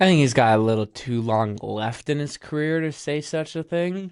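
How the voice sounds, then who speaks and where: A man with an American accent speaks at a moderate pace in an unremarkable speaking voice, with ordinary pitch variation, on a very clean recording with a silent background. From United States. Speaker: football podcast host. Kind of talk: casual chat.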